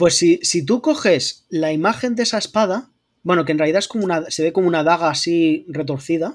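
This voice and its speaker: Very clean recording, silent background. A man with a high pitch talks at a fairly quick pace with ordinary pitch variation. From Murcia, Spain. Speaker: art historian and YouTube lore creator. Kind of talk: casual chat.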